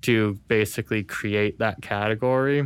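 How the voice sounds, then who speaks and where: Captured in a very clean recording with a silent background, a man with an American accent uses a normal speaking voice, fairly low in pitch, at a moderate pace with fairly even intonation. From California. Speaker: university student. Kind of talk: casual interview.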